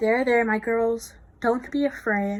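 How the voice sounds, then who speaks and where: A woman puts on a character voice, fairly high in pitch and delivered at a fairly slow pace. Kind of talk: tender, addressing the bees as "my girls". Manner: soothing, gentle.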